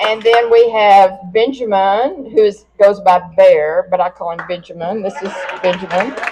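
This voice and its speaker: At a fairly slow pace, a woman of medium pitch speaks with ordinary pitch variation and big swings in loudness, with noticeable background noise. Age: 80s+. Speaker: mayor-elect. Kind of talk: victory speech. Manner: animated.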